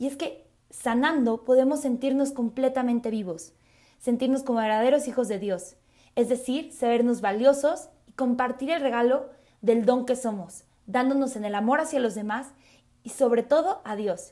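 In a very clean recording with a silent background, a woman with a high pitch and a central Mexican accent talks at a moderate pace. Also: ordinary pitch variation. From Mexico City. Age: 20s. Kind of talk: religious talk podcast.

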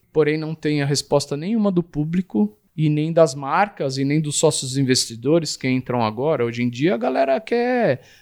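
With hardly any pauses, a man talks at a moderate pace in a fairly high pitch with lively intonation, the sound dry and close with no echo and the recording very clean over a silent background. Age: 40s. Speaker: tattoo artist. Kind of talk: interview. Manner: hesitant, with repeated words.

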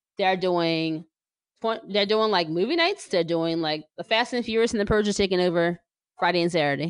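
A woman with an American accent speaks in a plain, everyday voice, medium in pitch, at a moderate pace. Her loudness stays very even, her pitch varies in an ordinary way, and the background is quiet. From New Jersey. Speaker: podcast host and sports writer. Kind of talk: casual chat.

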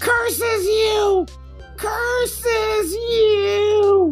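An extremely high-pitched voice performs a put-on character. Music plays clearly in the background. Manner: evil, theatrical.

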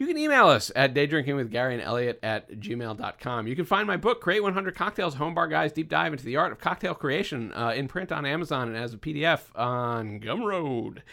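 A man's bright, sharp tone with very wide pitch swings and hardly any pauses, in a very clean recording with a silent background. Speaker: podcast host. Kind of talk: casual chat.

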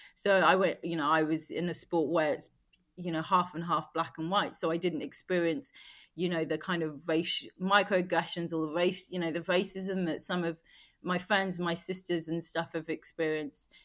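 On a very clean recording with a silent background, a woman with a London accent talks in a fairly low pitch and fairly even intonation. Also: moderate pace. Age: 40s. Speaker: former Olympic athlete and beauty entrepreneur. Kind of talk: casual chat. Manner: halting.

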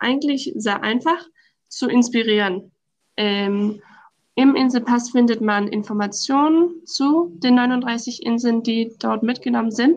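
A woman with a Danish accent speaks very slowly, her fairly high voice showing ordinary pitch variation. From southern Denmark. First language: Danish (speaking German). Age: 20s. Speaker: law student, islands promotion worker. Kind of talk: interview.

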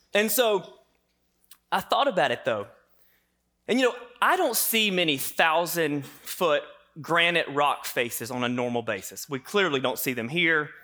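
A man with a Southern US accent speaks at a moderate pace in a fairly high, bright, sharp voice. His pitch swings very widely, broken by long, frequent pauses. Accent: Southern American. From US South. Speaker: pastor. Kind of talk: sermon.

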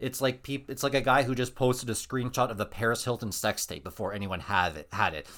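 Very fast, with vocal fry, a man with a Canadian accent speaks at a medium pitch with ordinary pitch variation on a very clean recording with a silent background. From Canada. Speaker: podcast co-host. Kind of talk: casual chat, storytelling. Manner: halting.

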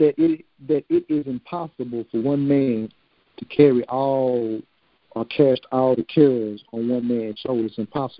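At a moderate pace and with fairly even intonation, a man talks in an ordinary speaking voice. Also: medium pitch for a man. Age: 40s. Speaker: podcast host. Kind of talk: casual chat.

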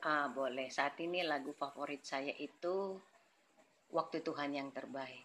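A woman's very deep, low voice at a fairly slow pace with fairly even intonation, in a very clean recording with a silent background. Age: 40s. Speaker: church elder and youth coordinator. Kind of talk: interview. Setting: podcast recording.

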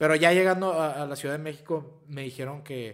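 The man speaks with a plain, everyday voice at a moderate pace. His pitch varies in an ordinary way. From Piedras Negras, Coahuila, northern Mexico. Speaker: actor. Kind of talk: casual chat.

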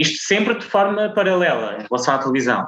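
Pitch leaps very widely as a man talks. His speed stays moderate. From Azores, São Miguel. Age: 20s. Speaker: TV reporter. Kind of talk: interview.

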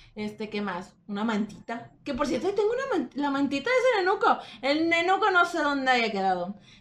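Speaking at a fairly quick pace with hardly any pauses, a woman's high voice swings very widely in pitch. Noticeable background noise runs underneath. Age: young. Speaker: podcast co-host. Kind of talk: casual chat.

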